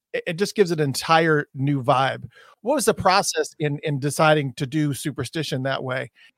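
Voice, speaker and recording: A man's normal speaking voice, fairly high in pitch with ordinary pitch variation, at a fairly quick pace, with a dry, close sound and no echo. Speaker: interviewer. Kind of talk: casual interview.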